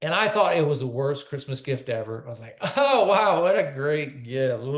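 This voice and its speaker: A somewhat breathy man's voice at a moderate pace. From Quebec, Canada. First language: French. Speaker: country singer. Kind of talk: interview.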